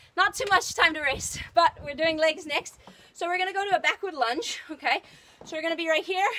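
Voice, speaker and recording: At a fairly quick pace, a woman projects a raised voice with a bright, sharp tone and extremely high pitch. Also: ordinary pitch variation. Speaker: fitness trainer. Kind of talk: workout coaching. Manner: loud; energetic.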